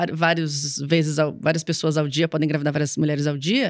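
A woman's voice against a quiet background. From São Paulo, Brazil. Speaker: comedian. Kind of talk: casual interview chat. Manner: stuttering.

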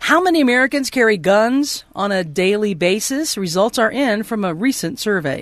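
A woman speaks at a moderate pace with hardly any pauses. Her fairly high pitch swings very widely. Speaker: radio news anchor. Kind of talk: radio news reading.

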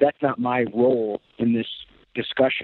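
A man's medium-pitched voice. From Western New York (Chautauqua County, near Jamestown). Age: 40s. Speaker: TV political correspondent. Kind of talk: interview conversation.

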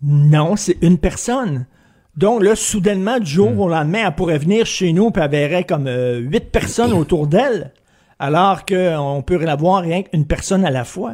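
A man speaks at a moderate pace in a high pitch, his tone animated and his intonation lively. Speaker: commentator. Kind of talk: opinionated commentary.

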